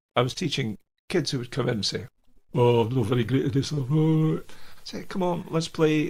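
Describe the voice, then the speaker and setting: A man with a Scottish accent, medium pitch, lively intonation and vocal fry. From Scotland, Aberdeenshire coast. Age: 70s. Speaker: jazz pianist and educator. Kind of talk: interview.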